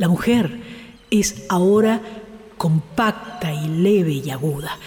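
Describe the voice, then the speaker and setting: The delivery is solemn, with noticeable noise behind it. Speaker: radio host reading literature. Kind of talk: literary reading aloud of prose and poetry. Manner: slow, measured, contemplative; intimate, solemn, poetic.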